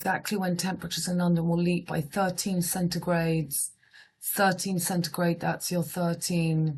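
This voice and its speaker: In a British accent, a woman with a fairly low pitch speaks at a moderate pace, somewhat breathy, with very even loudness and monotone, flat intonation. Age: 50s. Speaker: astrologer. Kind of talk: casual monologue reading headlines. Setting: at home. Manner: quiet.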